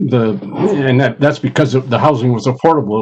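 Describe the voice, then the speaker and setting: A man talks with an Upper Midwest accent and ordinary pitch variation. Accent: Upper Midwest American. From Minnesota, Minneapolis. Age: 70s. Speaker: retired college administrator. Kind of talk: panel discussion. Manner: halting.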